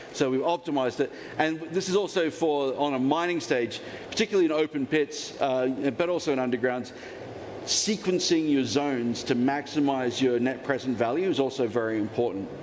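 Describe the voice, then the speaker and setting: A fairly quick pace, ordinary pitch variation and very even loudness, with noticeable background noise. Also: man, fairly high pitch for a man. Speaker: metallurgist teaching a mining finance course. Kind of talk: lecture. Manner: fast.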